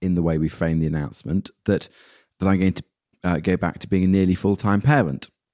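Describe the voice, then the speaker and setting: A man speaks in a very deep, low voice. The recording is very clean, with a silent background. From northern England, Peak District. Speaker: charity chief executive. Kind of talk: interview conversation. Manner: halting, frequent self-repetition.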